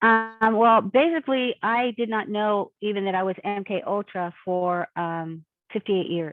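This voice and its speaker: A woman's voice at a fairly slow pace with hardly any pauses, ordinary pitch variation, and music in the background. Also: medium pitch for a woman. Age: 60s. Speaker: abuse survivor. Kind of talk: interview.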